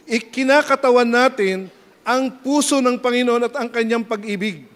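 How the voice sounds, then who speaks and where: Here a man speaks at an extremely high pitch. His pace is moderate and his pitch variation ordinary. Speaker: pastor. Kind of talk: sermon. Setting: church. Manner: animated.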